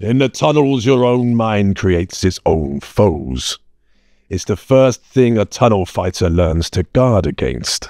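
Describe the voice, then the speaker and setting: A man puts on a character voice. It sits fairly low in pitch and moves at a fairly slow pace. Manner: gruff, blunt, steady.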